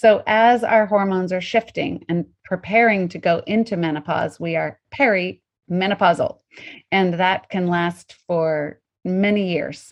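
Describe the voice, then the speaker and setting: Using an ordinary speaking voice, a woman with an American accent talks at a fairly slow pace with ordinary pitch variation. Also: medium pitch for a woman. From Colorado, US. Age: 50s. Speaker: intermittent fasting coach and author. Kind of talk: interview.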